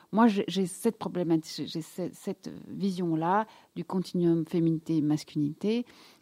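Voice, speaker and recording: Recorded very cleanly against a silent background, a woman speaks fairly slowly with a dark, mellow tone and fairly low pitch, the sound dry and close with no echo. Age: 50s. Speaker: gynecologist and sexologist. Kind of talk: casual interview. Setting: studio.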